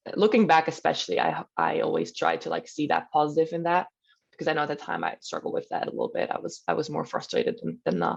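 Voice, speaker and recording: A woman talks with a Swiss German accent. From German-speaking Switzerland. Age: 20s. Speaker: professional volleyball player. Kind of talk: podcast interview. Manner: hesitant, many fillers.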